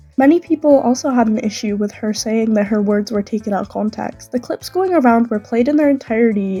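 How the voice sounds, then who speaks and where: A woman at a fairly quick pace with ordinary pitch variation, music in the background. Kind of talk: video essay commentary.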